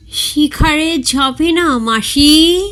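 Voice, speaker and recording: A man does a put-on character voice. It is squeaky and extremely high. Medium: read story. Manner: eager, nervous.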